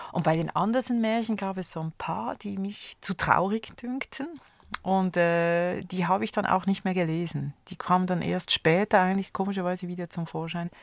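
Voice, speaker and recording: Captured in a very clean recording with a silent background and a dry, close sound with no echo, a normal speaking voice moves at a moderate pace with ordinary pitch variation. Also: woman, medium pitch for a woman. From Switzerland. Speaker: conductor and music educator. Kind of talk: radio interview. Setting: studio.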